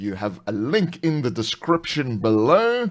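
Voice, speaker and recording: A man speaks with a South African accent. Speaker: tabletop RPG channel host. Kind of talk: live stream casual chat. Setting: live stream video call.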